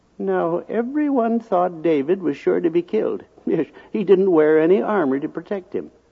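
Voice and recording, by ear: A natural voice reads text aloud. Nothing else stands out.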